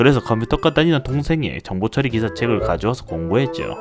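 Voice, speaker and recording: With music playing in the background, a man at a medium pitch talks very fast, his pitch swinging very widely. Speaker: software developer. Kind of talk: casual storytelling narration.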